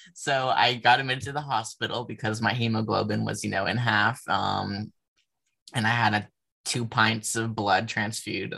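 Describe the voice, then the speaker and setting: Speaking at a moderate pace and a medium pitch, a man uses a monotone, flat intonation with vocal fry and a bright, sharp tone. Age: 20s. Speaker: adult content creator and ceramics graduate. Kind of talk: casual podcast interview.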